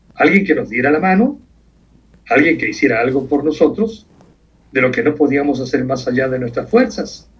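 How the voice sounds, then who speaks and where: A man's fairly high, somewhat breathy voice with lively intonation and long, frequent pauses. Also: moderate pace. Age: 70s. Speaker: veteran broadcaster. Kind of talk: interview.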